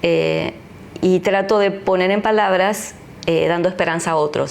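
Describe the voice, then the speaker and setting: A woman with an Argentine accent talks at a moderate pace and a fairly low pitch over noticeable background noise. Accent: Argentine Spanish (Rioplatense). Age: 60s. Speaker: pastor. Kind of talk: interview testimony.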